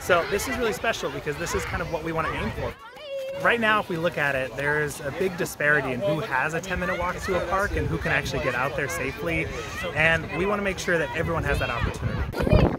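Crowd noise fills the background as a man speaks at a very fast pace. The sound is dry with no echo, and his pitch varies in an ordinary way. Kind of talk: interview answer. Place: open country.

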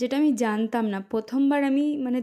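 A woman speaks at a fairly high pitch in a dark, mellow tone with fairly even intonation. The recording is very clean, with a silent background. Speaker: vlogger. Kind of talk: vlog narration. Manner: casual, chatty.

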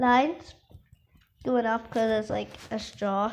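The speaker is a woman. There is loud background noise behind her. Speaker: drawing instructor. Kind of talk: tutorial. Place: home room. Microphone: phone near.

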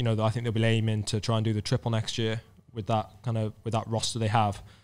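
A man talks with a Cardiff accent. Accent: Welsh (Cardiff). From Wales, Cardiff. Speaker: professional road cyclist. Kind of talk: casual chat. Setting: stage with live audience. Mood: relaxed conversational. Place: bar. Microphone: studio mic.

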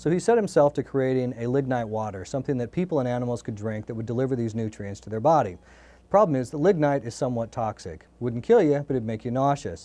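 Speaking at a very fast pace, a man uses lively intonation and a dark, mellow tone. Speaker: company executive. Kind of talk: interview. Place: studio. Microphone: lapel.

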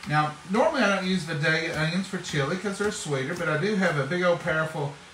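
Over clear background noise, a man speaks rather briskly, with pitch that shifts in an ordinary way. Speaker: home cook vlogger. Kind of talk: casual cooking vlog chat. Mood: relaxed, chatty. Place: kitchen. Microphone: phone near.

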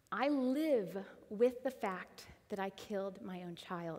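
At a very slow pace, a woman speaks in a fairly high pitch. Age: 30s. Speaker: church member sharing testimony; guest. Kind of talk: testimony. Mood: earnest, emotional personal testimony. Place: church. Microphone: headset.

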